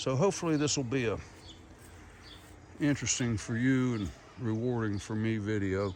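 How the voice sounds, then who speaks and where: Speaking at a moderate pace with long, frequent pauses, a man with an Appalachian accent has a medium pitch, ordinary pitch variation and a relaxed tone, with audible echo in the room. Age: 70s. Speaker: video blogger. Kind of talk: casual vlog monologue. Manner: relaxed, halting with fillers.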